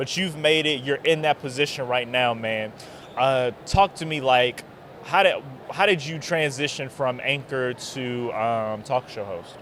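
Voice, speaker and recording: Fairly slow, medium-pitched speech from a man, with ordinary pitch variation and noticeable background noise. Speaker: podcast host. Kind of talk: casual interview. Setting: convention floor. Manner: loud; animated.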